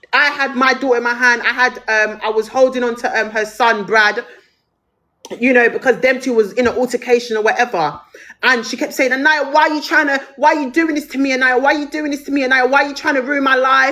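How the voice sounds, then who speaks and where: Angry and very fast, a woman raises and projects her high-pitched voice, its tone bright and sharp, with ordinary pitch variation. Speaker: TikTok live streamer. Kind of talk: heated live-stream rant. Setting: TikTok live stream. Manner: angry, loud, repetitive.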